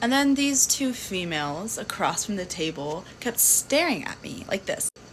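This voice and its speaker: Over noticeable background noise, a woman talks at a moderate pace at medium pitch, with very wide pitch swings. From Louisiana. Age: 20s. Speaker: social media storyteller. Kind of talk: personal storytelling to camera. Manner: casual, animated.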